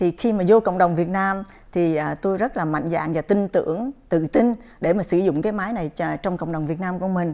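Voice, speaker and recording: A woman's very fast speech, dark, mellow tone, fairly low pitch and ordinary pitch variation. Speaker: chiropractor. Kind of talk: interview on a health program. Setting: studio. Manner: halting, many fillers. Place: studio. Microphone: lapel.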